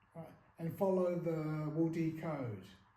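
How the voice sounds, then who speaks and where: A man with a dark, mellow tone speaks at a high pitch, with audible room echo around him. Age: 70s. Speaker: martial arts master. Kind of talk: interview. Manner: halting, many fillers.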